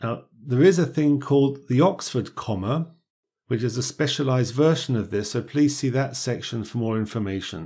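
The recording is very clean, with a silent background. A man at medium pitch speaks at a moderate pace in a dark, mellow tone with ordinary pitch variation. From Britain. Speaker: English teacher. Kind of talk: tutorial. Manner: clear, measured.

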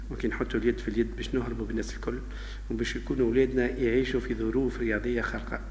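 A man speaks extremely fast, with faint noise behind him. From Tunisia. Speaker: sports club president. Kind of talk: interview. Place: office. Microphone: handheld.

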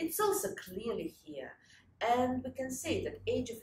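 A woman speaks at a moderate pace in a Russian accent, high-pitched with very wide pitch swings. Light background noise and audible room echo surround her. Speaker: historian and lecturer; lecturer. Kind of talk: conference talk. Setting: stage with audience. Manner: halting. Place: home room. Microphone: lapel.

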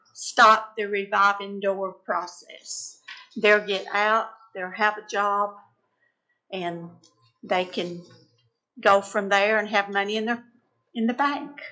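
A woman with a bright, sharp tone and a medium pitch speaks at a very slow pace. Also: long, frequent pauses. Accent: Tennessee. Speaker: citizen speaking at public forum. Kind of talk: public comment. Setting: county commission meeting room.

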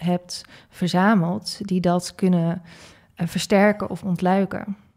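Against a quiet background, a woman speaks at a fairly low pitch. Her tone is dark and mellow, with monotone, flat intonation. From Netherlands, Groningen; Netherlands. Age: 30s. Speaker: leadership coach and entrepreneur; leadership coach. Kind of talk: interview conversation. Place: studio. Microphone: studio mic.

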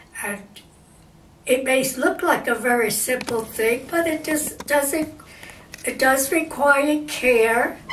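A woman at a very slow pace with ordinary pitch variation, plus audible room echo and light background noise. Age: 80s+. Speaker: amateur painter. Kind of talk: painting tutorial talk to camera. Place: home room.

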